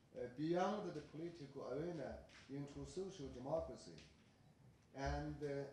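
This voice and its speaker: A man at a fairly slow pace, ordinary pitch variation, light background noise and audible room echo. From China. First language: Chinese. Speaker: professor and commentator; professor, commentator. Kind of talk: academic commentary. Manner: halting. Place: meeting room.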